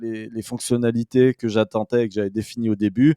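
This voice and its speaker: A man speaks with a dark, mellow tone at a medium pitch. The sound is dry and close with no echo, and the background is quiet. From France, Saint-Étienne. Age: 40s. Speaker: business advisor, former investment banker. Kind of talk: interview. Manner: hesitant, many fillers and restarts.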